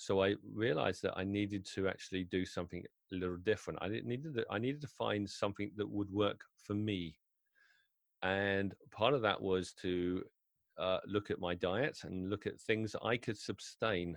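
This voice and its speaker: A man with a British accent talks at a moderate pace, his pitch fairly low. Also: ordinary pitch variation, quiet background. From UK. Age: 50s. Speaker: wedding DJ. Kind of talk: interview conversation.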